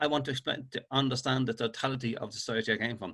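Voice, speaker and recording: A man speaks very fast in a Dublin accent, his tone bright and sharp. His pitch is medium, and the recording is very clean with a silent background. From Ireland, Dublin (Finglas). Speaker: author. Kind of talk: interview. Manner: halting, repetitive starts.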